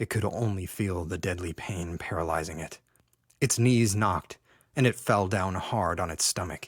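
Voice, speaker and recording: Moderately paced, this man has an unremarkable speaking voice, and his pitch varies in an ordinary way. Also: very clean recording, silent background. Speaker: audiobook narrator. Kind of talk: audiobook fiction reading.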